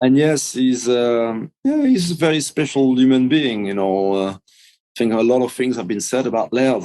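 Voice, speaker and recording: A man speaks with a French accent at a moderate pace. His tone is dark and mellow. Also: medium pitch for a man, ordinary pitch variation. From France. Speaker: big wave surfer, author. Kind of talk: interview. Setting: podcast interview.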